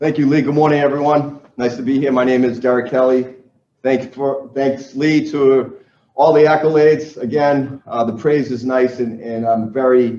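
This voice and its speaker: In a Boston accent, a man speaks at a medium pitch and moderate pace with monotone, flat intonation. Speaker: sales trainer. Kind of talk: seminar presentation to live audience. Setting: live event with audience in Dallas.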